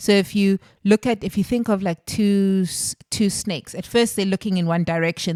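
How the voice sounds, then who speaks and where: Recorded very cleanly against a silent background, a woman talks in an unremarkable speaking voice with a dry, close sound and no echo. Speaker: spiritual healing podcast host. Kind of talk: solo podcast monologue on healing.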